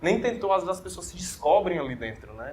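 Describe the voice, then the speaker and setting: A man speaks at a fairly quick pace. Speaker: orthodontist and dental teacher. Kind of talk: interview. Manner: fast.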